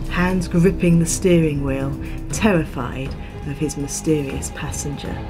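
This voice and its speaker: A woman speaks at a moderate pace, with music in the background. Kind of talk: ghost story narration.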